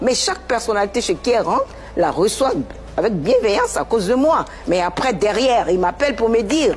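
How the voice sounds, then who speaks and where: Against noticeable background noise, a woman's voice moves through very wide pitch swings. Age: 60s. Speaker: mother of a public figure, former dancer. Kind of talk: TV talk show interview. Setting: TV studio set. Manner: emotional, insistent.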